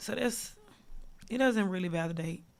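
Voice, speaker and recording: Lively intonation runs through this woman's speech in an American accent. She talks at a fairly quick pace and a medium pitch. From southeast Texas. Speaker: rapper. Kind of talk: casual interview.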